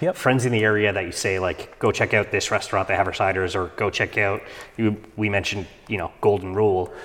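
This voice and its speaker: Here is a man with a Canadian accent and a fairly low pitch. He talks at a fairly quick pace in a normal speaking voice. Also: fairly even intonation. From Canada. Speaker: podcast host. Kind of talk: casual chat.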